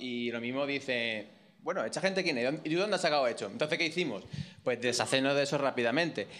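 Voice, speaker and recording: Lively intonation runs through an ordinary speaking voice at a fairly quick pace. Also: man, fairly high pitch for a man. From Sanlúcar de Barrameda, Cádiz. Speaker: audience member. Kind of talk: anecdote on stage. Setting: stage with audience.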